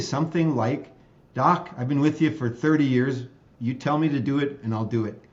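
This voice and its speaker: A man with an American accent at a fairly quick pace, ordinary pitch variation and audible room echo. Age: 60s. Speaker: state legislator and optometrist. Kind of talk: interview conversation.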